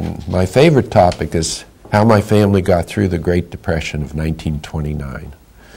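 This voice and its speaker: Amid noticeable background noise, a man with a very deep, low pitch talks at a moderate pace with ordinary pitch variation. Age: 80s+. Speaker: memoir writing teacher. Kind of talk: interview. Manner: halting.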